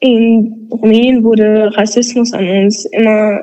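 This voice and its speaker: In a monotone, flat delivery, a woman talks at a fairly high pitch. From Romania. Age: 20s. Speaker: student activist. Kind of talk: podcast interview.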